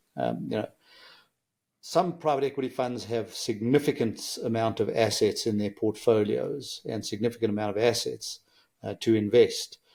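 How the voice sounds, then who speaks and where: On a very clean recording with a silent background, a man speaks with a South African accent at a moderate pace. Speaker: engineer and business executive. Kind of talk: podcast interview.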